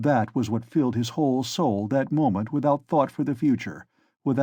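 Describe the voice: The voice is plain reading aloud with ordinary pitch variation. The background is quiet.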